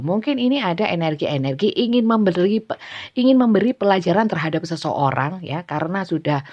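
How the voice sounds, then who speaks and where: Lively intonation and a fairly quick pace mark this speech in a strong Javanese accent. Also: woman. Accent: thick Javanese. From Java, Indonesia. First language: Javanese (speaking Indonesian). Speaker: tarot reader. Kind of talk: tarot reading livestream. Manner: casual, laughs often; halting with fillers.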